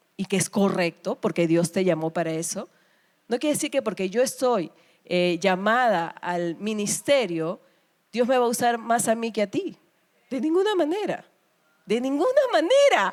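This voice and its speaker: Recorded very cleanly against a silent background, the voice sounds animated, swinging very widely in pitch at a moderate pace. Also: woman, fairly high pitch for a woman. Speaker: pastor. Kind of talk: sermon.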